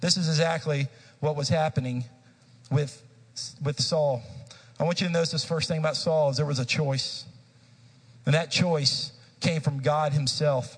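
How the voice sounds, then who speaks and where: Pausing long and often, a man speaks at a moderate pace in a fairly high, somewhat breathy voice. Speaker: pastor. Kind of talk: sermon. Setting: church.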